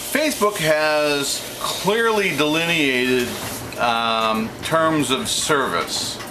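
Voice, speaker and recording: Amid noticeable background noise and audible room echo, a man in a fairly high voice speaks very slowly with lively intonation. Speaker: video blogger. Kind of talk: monologue to camera. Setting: home kitchen office. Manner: halting; off the cuff.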